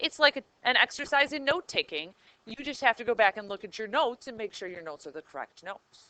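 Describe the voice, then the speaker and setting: A woman talks at a very fast pace in a raised, projected voice with a bright, sharp tone and lively intonation, in a dry, close sound with no echo. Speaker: high school math teacher. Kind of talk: classroom lecture. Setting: classroom.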